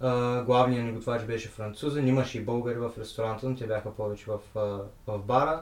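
A man with a medium pitch talks fairly quickly and with fairly even intonation, noticeable background noise behind him. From Bulgaria. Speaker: guest who worked abroad. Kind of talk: casual interview chat.

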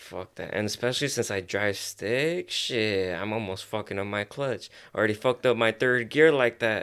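In a very clean recording with a silent background, a man with an American accent uses a normal speaking voice, speaking at a moderate pace and medium pitch with ordinary pitch variation and hardly any pauses. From Los Angeles area, US (Azusa). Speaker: photographer. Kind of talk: casual chat.

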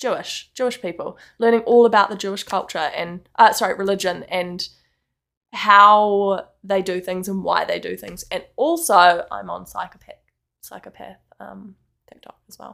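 Heard on a very clean recording with a silent background, the moderately paced voice has a New Zealand accent and big swings in loudness. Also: woman. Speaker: podcast co-host. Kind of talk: casual chat.

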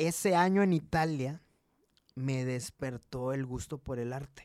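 A man's animated voice, with ordinary pitch variation, comes through a very clean recording with a silent background and a dry, close sound with no echo. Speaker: entrepreneur, branding agency co-founder. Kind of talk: casual chat.

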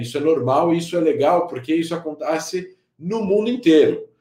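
Lively in intonation, the dark, mellow voice moves at a moderate pace. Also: man. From Brazil, São Paulo. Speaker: security and counterterrorism expert. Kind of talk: interview.

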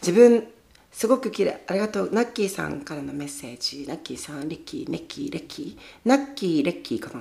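The speaker races along at a very fast pace, with big swings in loudness and very wide pitch swings over noticeable background noise. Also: woman, medium pitch for a woman. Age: 20s. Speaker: podcast host. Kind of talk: casual chat. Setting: home storage room, livestreaming while recording. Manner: animated.

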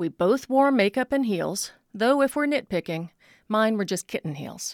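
A plain, everyday voice with lively intonation moves at a moderate pace in a dry, close sound with no echo, on a very clean recording with a silent background. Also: woman. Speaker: commentator. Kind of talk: personal essay read aloud.

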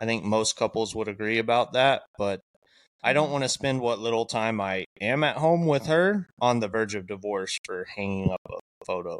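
An unremarkable speaking voice moves at a moderate pace with ordinary pitch variation, in a very clean, dry, close recording with no echo and a silent background. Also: man, medium pitch for a man. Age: 30s. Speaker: podcast co-host and tradesman. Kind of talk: casual chat.

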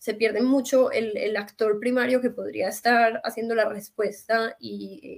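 A woman speaks at a fairly slow pace in a fairly high pitch. Her intonation is monotone and flat. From Colombia, Medellín. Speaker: NGO worker. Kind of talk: interview.

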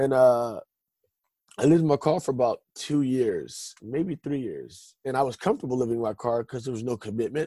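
With an American accent, a man speaks at a fairly quick pace in a medium pitch with ordinary variation, his dark, mellow tone captured in a dry, close sound with no echo. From Stockton, California. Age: 30s. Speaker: testimony guest. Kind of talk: testimony. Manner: halting.

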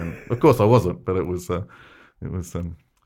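A man with an Australian accent speaks at a very deep, low pitch in a dark, mellow tone. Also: very clean recording, silent background. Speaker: fraud analyst guest. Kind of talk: casual interview chat. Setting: studio.

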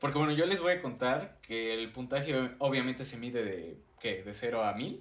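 Lively intonation shapes speech that keeps a moderate pace. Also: man, medium pitch for a man. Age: 19, turning 20. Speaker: university student podcast co-host. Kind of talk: casual chat.

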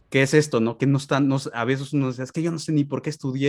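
A man speaks with a Mexican accent. The recording is very clean, with a silent background. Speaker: podcast host. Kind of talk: interview.

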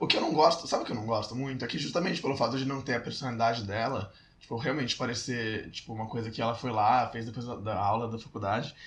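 Barely pausing, a man talks at a very fast pace with a medium pitch and ordinary pitch variation. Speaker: podcast co-host. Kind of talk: casual chat.

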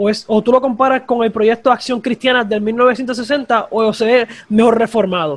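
Speaking at a fairly slow pace, a man uses an extremely high pitch. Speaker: podcast host. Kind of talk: interview.

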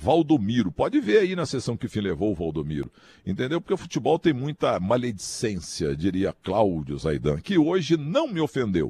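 A man with medium pitch and vocal fry speaks at a moderate pace with very wide pitch swings and hardly any pauses, in a dry, close sound with no echo and a quiet background. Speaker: sports commentator. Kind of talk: casual chat.

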